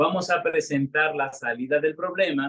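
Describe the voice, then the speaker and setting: Using a normal speaking voice, a man with fairly high pitch speaks at a moderate pace and with fairly even intonation. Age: 60s. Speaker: retired pastor. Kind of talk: sermon.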